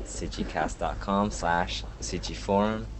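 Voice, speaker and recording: Over noticeable background noise, a man's very deep, low voice swings very widely in pitch. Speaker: podcast host. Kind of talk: casual interview.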